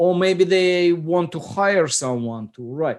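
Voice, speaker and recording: Lively intonation runs through this speech in a non-native accent. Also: man. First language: Russian. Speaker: software company founder. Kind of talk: casual chat.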